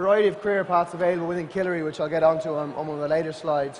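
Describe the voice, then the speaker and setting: In an Irish accent, a man talks at a fairly high pitch with monotone, flat intonation. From Ireland, Atlantic coast. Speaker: adventure company social media director and outdoor instructor. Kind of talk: conference talk to an audience.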